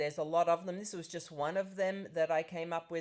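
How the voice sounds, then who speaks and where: Her pitch sits very deep and low for a woman. She talks with an Australian accent. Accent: Australian, still present after thirty years. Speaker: professor and nonprofit founder. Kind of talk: webinar presentation.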